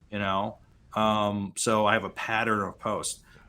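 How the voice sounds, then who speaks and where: A man with an American accent speaks at a fairly low pitch in a bright, sharp tone. The recording is very clean, with a silent background. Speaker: LinkedIn coach. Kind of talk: interview. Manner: halting, many fillers.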